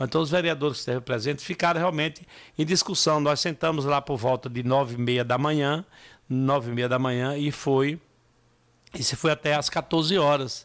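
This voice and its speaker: Over a silent background in a very clean recording, a man with a fairly high pitch talks at a moderate pace with fairly even intonation. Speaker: city council president. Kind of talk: radio interview. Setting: radio studio. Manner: halting.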